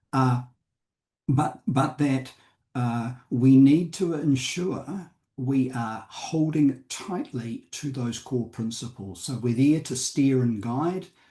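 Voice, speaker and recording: At a very slow pace, a man with a New Zealand accent speaks at a medium pitch, somewhat breathy, with ordinary pitch variation. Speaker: company director and board advisor. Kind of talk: panel discussion. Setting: conference panel. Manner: halting with fillers.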